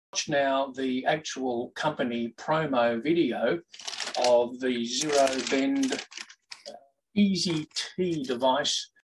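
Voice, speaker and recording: A man speaks at a very slow pace with ordinary pitch variation and long, frequent pauses, against noticeable background noise. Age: 60s. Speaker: golf vlogger. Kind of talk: product review. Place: home room. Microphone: webcam.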